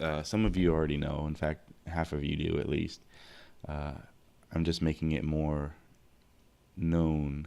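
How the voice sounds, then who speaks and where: A man with a very deep, low pitch and a dark, mellow tone speaks fairly slowly in a monotone, flat way, with long, frequent pauses. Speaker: podcast host and streamer. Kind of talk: live stream chat. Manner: halting.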